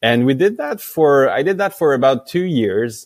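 A man with a French accent speaks at a moderate pace, his pitch swinging very widely. The recording is very clean, with a silent background. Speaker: company founder. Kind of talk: interview. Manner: halting, many fillers.

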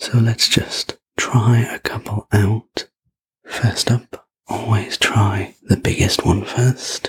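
A man whispers at a very slow pace in a gentle, calm tone. The sound is dry and close, with no echo. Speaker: sleep story narrator. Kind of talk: ASMR sleep story roleplay. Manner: soft, slow, gentle whisper-like delivery; calm, soothing, personal-attention tone.

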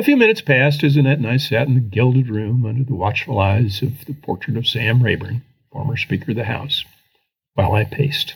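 A man with a medium pitch speaks at a fairly quick pace, with ordinary pitch variation. His voice is somewhat breathy. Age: 70s. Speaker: former congressman and writer. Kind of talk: reading aloud a personal essay.

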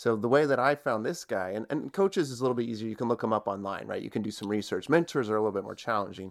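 A man at a very fast pace with hardly any pauses and a medium pitch, on a very clean recording with a silent background. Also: ordinary pitch variation. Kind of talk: casual interview chat.

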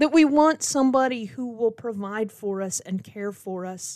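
Recorded very cleanly against a silent background, a woman with an American accent uses a normal speaking voice, fairly high in pitch with ordinary variation, at a fairly slow pace. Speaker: pastor. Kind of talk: devotional podcast reflection.

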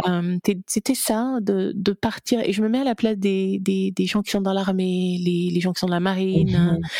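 At a moderate pace, a woman speaks in a dark, mellow tone at medium pitch with fairly even intonation. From Gabon. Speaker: content creator and business coach. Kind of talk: interview.

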